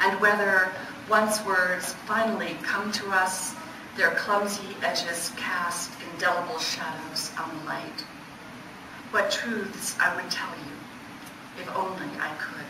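A woman speaks very slowly, with long, frequent pauses. Noticeable background noise sits behind her. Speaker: poet. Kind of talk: poetry reading of her own dense, image-laden lyric sequences. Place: hall. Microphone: camera far.

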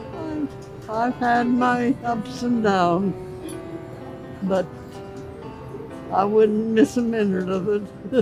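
With clear music in the background, a woman of medium pitch talks at a very slow pace with long, frequent pauses and ordinary pitch variation. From Southern California. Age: 80s+. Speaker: birthday guest. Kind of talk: interview answer. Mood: warm, grateful, reminiscing.

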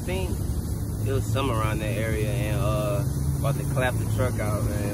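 A man's dry voice with no echo over loud background noise. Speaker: vlogger. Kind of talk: casual vlog chat. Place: street. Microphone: phone near.

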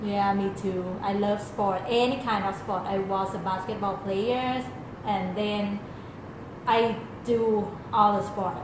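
A woman with a Thai accent speaks very slowly in a medium pitch, with monotone, flat intonation and long, frequent pauses. Noticeable background noise and audible room echo surround her. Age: 30s. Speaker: product manager and athlete. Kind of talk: audition video.

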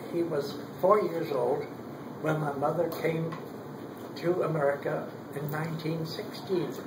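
Loud background noise sits behind a man speaking. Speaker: grandfather telling stories. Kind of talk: family storytelling. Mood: warm, reminiscing. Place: home room. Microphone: camera far.

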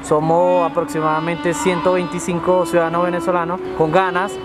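Over clear background music, a man talks at a fairly slow pace. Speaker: interviewee. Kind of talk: interview answer. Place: street.

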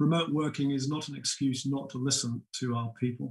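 Over a quiet background, a man speaks at a moderate pace. His voice is somewhat breathy, with ordinary pitch variation. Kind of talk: prepared keynote speech. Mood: calm, measured, serious. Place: home room. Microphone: webcam.

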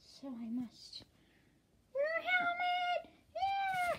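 A female-sounding voice in a cartoonish character voice, pitched extremely high, moves at a very slow pace. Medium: puppet. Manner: surprised, panicky.

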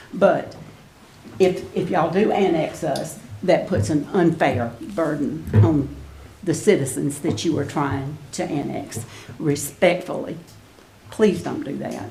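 A woman with a Mississippi accent speaks very slowly in a very deep, low pitch, with lively intonation and long, frequent pauses. Audible room echo and noticeable background noise are present. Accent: Mississippi Southern. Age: 70s. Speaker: resident speaking at public comment. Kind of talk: public comment at council meeting.

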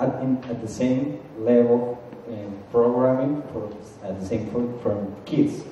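Slowly and at a medium pitch, a man speaks with fairly even intonation in a room with strong echo.

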